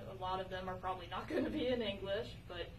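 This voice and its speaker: Noticeable background noise surrounds a woman as she talks. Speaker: dance instructor. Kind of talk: tutorial. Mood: friendly, upbeat. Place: hall. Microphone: camera far.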